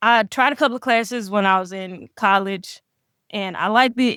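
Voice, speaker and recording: With a Southern US accent, a woman speaks with fairly even intonation in a dry, close sound with no echo. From Mississippi. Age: 20s. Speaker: professional grappler. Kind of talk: casual interview.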